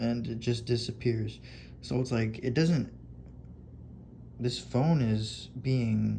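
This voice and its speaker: A man talks in a dark, mellow tone, somewhat breathy, with ordinary pitch variation. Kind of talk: casual talk over screen recording. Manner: halting, spaced-out pauses.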